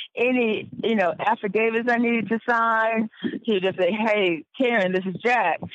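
The speech keeps a moderate pace with fairly even intonation. Its loudness stays very even. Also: woman, fairly high pitch for a woman. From North Carolina, Wake County. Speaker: former injury claimant. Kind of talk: interview testimony.

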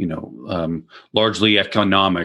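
With a Canadian accent, a man speaks in a very deep, low register. His voice carries vocal fry. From Ontario, Canada (Peterborough). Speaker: leadership training executive. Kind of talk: interview conversation. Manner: hesitant, many fillers.

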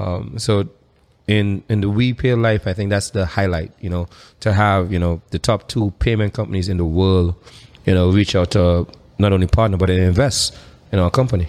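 A man with an ordinary speaking voice talks at a fairly low pitch, keeping a moderate pace and fairly even intonation. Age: young. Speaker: tech startup founder and CEO. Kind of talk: interview. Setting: live stream.

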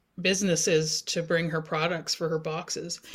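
On a very clean recording with a silent background, a woman speaks with a Canadian Maritime accent. Her pitch is fairly low and her intonation monotone and flat. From New Brunswick, Canada (First Nations community). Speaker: community development instructor. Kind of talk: interview.

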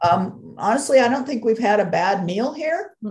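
A somewhat breathy woman with an American accent at a fairly slow pace. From Los Angeles, US West Coast. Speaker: food travel blogger. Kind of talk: casual interview.

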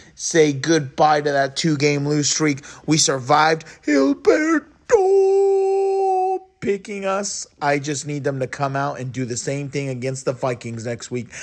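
A man's fairly slow speech is accompanied by noticeable background noise. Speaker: sports fan commentator. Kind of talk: recorded fan reaction. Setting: hotel room.

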